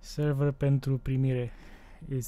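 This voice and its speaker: This man's voice has a dark, mellow tone and is somewhat breathy. His intonation stays flat and monotone. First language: Romanian. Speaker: tech tutorial creator. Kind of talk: tutorial. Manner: casual.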